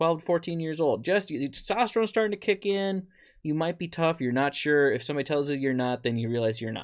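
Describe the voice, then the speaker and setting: A man with an American accent at a fairly high pitch, very fast pace and lively intonation, against a quiet background. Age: 20s. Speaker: podcast host, deer farmer. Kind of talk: casual chat. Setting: studio with video.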